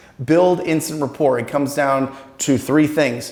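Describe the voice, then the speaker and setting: This man has a normal speaking voice, pitched fairly high, with ordinary pitch variation. He talks at a fairly slow pace. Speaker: sales trainer.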